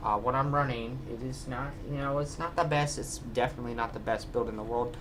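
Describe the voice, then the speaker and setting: Audible room echo follows a man who talks at a fairly quick pace. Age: 20s. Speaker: vlogger. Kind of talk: casual vlog. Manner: halting, filler-heavy.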